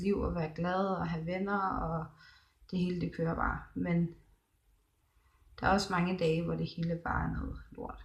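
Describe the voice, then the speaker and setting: Somewhat breathy, a woman speaks at a fairly low pitch and a fairly slow pace. Her intonation is monotone and flat. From Denmark, Thy in northwest Jutland. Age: 20s. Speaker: video blogger. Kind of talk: personal vlog, casual monologue. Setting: hospital room, psychiatric ward. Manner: halting, many pauses and fillers.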